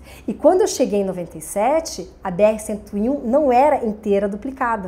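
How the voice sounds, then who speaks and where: With a Santa Catarina accent, a woman speaks at a fairly quick pace in a fairly high pitch, her dark, mellow tone carrying lively intonation. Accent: Santa Catarina Brazilian Portuguese. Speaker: television presenter. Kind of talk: podcast interview. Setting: studio.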